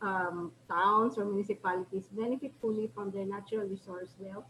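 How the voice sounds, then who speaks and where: A woman talks with a Filipino accent. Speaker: professor. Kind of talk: lecture. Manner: halting, many fillers. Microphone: too quiet at first.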